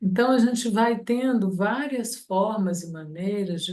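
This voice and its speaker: Speaking at a fairly slow pace, a woman has an unremarkable speaking voice with ordinary pitch variation. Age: 60s. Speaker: study group participant. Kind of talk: group discussion.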